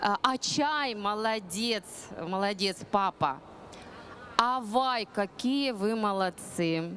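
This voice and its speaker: A woman's voice with ordinary pitch variation, light background noise and a dry sound with no echo. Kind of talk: lively presentation to an audience. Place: stage. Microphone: handheld.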